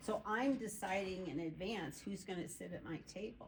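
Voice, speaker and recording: A woman speaks fairly slowly, and audible echo from the room surrounds her words. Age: 60s. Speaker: group participant. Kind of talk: casual chat.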